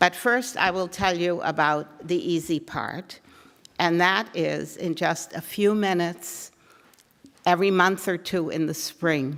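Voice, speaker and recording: A woman's fairly low voice, fairly slow and fairly even in intonation. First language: not English. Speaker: advocacy group organizer. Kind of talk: forum speech to audience. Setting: room with live audience.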